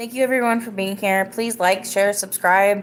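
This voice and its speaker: A woman speaks at medium pitch and a moderate pace. Music plays in the background. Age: 30s. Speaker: podcast host. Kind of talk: casual live-stream chat. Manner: animated.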